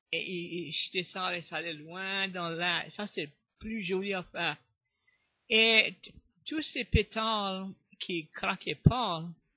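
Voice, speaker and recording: Speaking at a very slow pace with a Cajun accent, a man with a high pitch and ordinary pitch variation leaves long, frequent pauses while his loudness swings widely. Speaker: storyteller. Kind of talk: interview answer.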